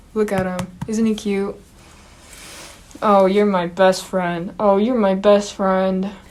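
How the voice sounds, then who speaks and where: A medium-pitched woman's voice at a moderate pace, against noticeable background noise. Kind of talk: casual talk to camera. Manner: lowered, masculinized pitch.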